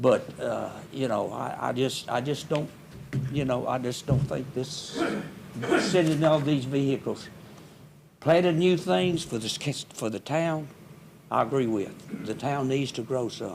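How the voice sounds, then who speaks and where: Over noticeable background noise and audible room echo, a man with a Mississippi accent speaks at a moderate pace and medium pitch. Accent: Mississippi Southern US. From US South, Hernando, Mississippi. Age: 80s+. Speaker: resident speaking at public hearing. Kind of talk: public comment at city meeting. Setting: city hall board room meeting.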